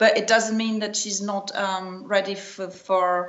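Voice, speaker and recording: The woman talks at a fairly slow pace with fairly even intonation. Audible room echo surrounds her voice. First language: not English. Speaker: tennis journalist. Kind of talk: interview. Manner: halting, many repetitions.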